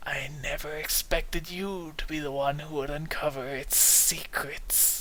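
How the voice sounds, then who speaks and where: A hissing, whispered put-on character voice moves at a moderate pace with hardly any pauses. Clear background noise sits underneath. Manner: hissing, whispery.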